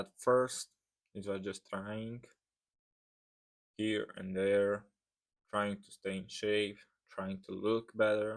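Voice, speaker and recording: Very slow speech from a man with a non-native accent, fairly low in pitch and monotone, flat in intonation, with big swings in loudness and long, frequent pauses. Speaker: fitness vlogger. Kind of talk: reading aloud. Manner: careful, reading from script.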